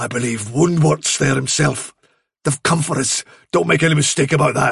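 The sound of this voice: In a put-on character voice, a man speaks at a moderate pace with ordinary pitch variation. His voice has vocal fry and a husky, rough edge. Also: medium pitch for a man, fairly bright tone.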